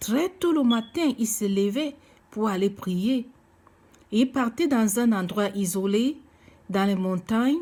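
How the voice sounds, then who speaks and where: Speaking very slowly with long, frequent pauses, a woman with a non-native accent has lively intonation, a dark, mellow, somewhat breathy tone and very even loudness on a very clean recording with a silent background. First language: not French (speaking French). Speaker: preacher. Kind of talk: sermon. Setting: seated, recorded video message. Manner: halting, many hesitations.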